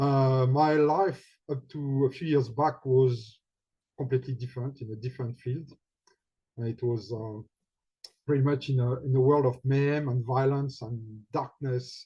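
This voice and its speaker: A man with a French accent speaks at a moderate pace with fairly even intonation, leaving long, frequent pauses. His tone is dark and mellow, and somewhat breathy. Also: medium pitch for a man. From France. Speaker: healing facilitator and guide. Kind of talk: personal talk. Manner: halting.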